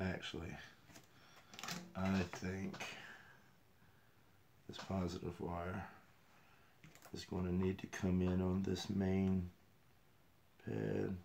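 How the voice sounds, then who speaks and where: Mumbling at a very slow pace, a man speaks with a very deep, low pitch. His intonation stays fairly even, and his pauses are long and frequent. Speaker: RC hobbyist. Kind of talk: casual livestream talk.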